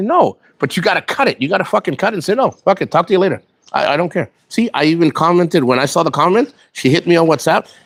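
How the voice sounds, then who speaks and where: Speaking at a very fast pace, a man uses an intense tone, a high pitch and very wide pitch swings, with a dry, close sound and no echo. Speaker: vlogger, military veteran living abroad. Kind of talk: casual livestream chat. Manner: sounds stressed, intense.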